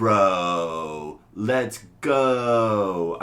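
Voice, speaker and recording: Putting on a character voice, a man speaks loudly with lively intonation at a fairly low pitch. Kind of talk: loud declamatory. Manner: loud, hyped up.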